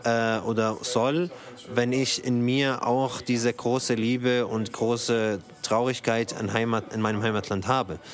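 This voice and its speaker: Noticeable background noise runs under this Arabic-accented speaker. The pace is fairly slow, with fairly even intonation. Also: man, medium pitch for a man. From Syria. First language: Arabic (speaking German). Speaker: actor and theatre director. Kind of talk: interview. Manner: halting, many repetitions and fillers.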